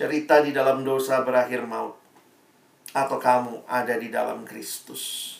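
A man's animated voice at medium pitch and a moderate pace. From Indonesia, Ambonese family. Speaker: preacher. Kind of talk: sermon. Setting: video call.

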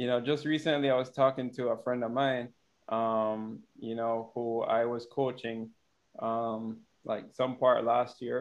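Fairly even intonation at a fairly slow pace, in an American accent. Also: man, medium pitch for a man. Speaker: podcast host. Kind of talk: casual chat. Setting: video call.

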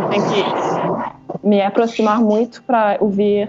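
With a French accent, a woman talks very slowly at a medium pitch in a flat monotone, over noticeable background noise. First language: French (speaking Portuguese). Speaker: social worker. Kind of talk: casual chat. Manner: halting, searching for words.

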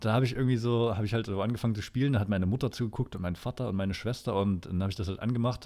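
Very fast mumbling from a man with a fairly low pitch, on a very clean recording with a silent background. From Thuringia, Erfurt. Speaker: podcast co-host. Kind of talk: casual chat. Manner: mumbling, barely opens mouth.

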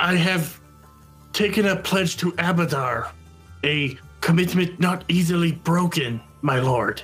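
A put-on character voice with a middle pitch speaks at a fairly slow pace, with long, frequent pauses. Music plays clearly in the background. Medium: actual play. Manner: formal, earnest.

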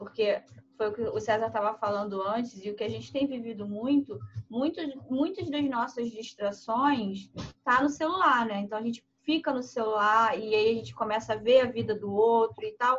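Her fairly high voice comes out somewhat breathy. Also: ordinary pitch variation, moderate pace. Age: 30s. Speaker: podcast host and teacher. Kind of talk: casual chat.

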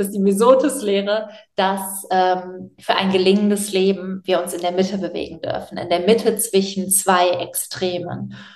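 A woman speaks at a moderate pace with fairly even intonation, with noticeable background noise and audible room echo. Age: 20s. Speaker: author and animal welfare activist. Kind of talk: interview.

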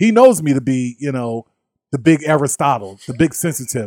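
Speaking at a moderate pace, a man with an American accent has a dark, mellow tone. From US, Philadelphia. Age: 50s. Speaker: civil rights official and social worker. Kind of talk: interview.

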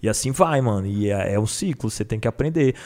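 Lively intonation from a man with a dark, mellow tone, in a very clean recording with a silent background. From Federal District, Brazil. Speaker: battle rapper. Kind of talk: casual chat.

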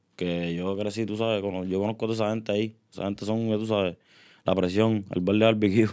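Against a quiet background, a man with a fairly low pitch talks at a very fast pace in a monotone, flat intonation. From Puerto Rico, Río Grande. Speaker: urban music artist. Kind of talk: casual interview chat. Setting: studio.

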